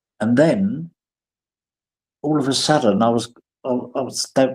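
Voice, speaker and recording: Here a man speaks with a London accent. His pitch is medium. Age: 50s. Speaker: prison performer and writer. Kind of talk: interview. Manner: hesitant, repeats words.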